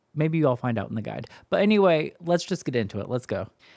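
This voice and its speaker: A man speaks with a Midwestern accent and lively intonation. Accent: Midwest. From US Midwest. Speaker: YouTube reactor. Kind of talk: reaction commentary. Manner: animated.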